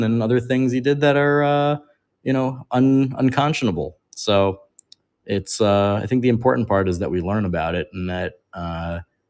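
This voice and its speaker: Here a man talks with lively intonation. He keeps a moderate pace. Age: 30s. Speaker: coin seller livestream host. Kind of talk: live sales stream. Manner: casual, halting with fillers.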